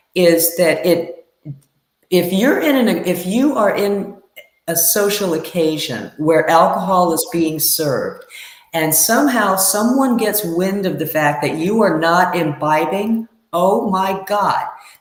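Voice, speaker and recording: Audible room echo surrounds a very slow voice with an American accent and ordinary pitch variation. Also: woman, medium pitch for a woman. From US South, Tallahassee Florida. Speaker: guest in recovery. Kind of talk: live talk show interview.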